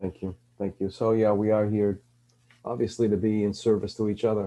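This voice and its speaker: A man talks at a fairly quick pace in a fairly low voice. His tone is dark and mellow, his intonation monotone and flat. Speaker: podcast host. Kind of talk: podcast interview. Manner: halting, many fillers.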